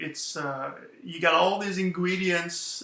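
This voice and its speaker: The speaker has a French Canadian accent and talks at a moderate pace with audible room echo. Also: man. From Quebec. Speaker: author. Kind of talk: interview answers. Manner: hesitant, many fillers.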